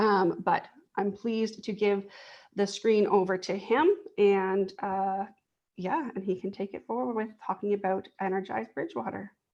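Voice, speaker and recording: Against a quiet background, the speaker keeps a moderate pace with ordinary pitch variation. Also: woman, medium pitch for a woman. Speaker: housing program coordinator. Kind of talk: online presentation.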